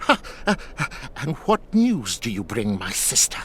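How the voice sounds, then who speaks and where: A man puts on a character voice, fairly high and cackling, with very wide pitch swings. He keeps a moderate pace over clear background noise. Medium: video game. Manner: cackling, cryptic, evasive.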